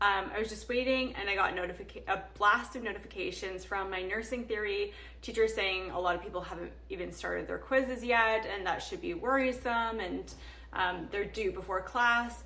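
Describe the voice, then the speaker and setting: A woman talks at a moderate pace. Her voice has audible room echo. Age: 30s. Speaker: nursing student and vlogger. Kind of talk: casual vlog talk.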